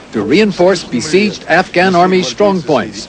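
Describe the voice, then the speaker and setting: A man's high-pitched voice at a moderate pace over noticeable background noise. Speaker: TV news correspondent. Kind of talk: 1980s TV news report, scripted broadcast narration. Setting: recorded news broadcast. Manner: formal, measured and authoritative, brisk even delivery; crisp, clipped newsreader cadence with steady neutral tone.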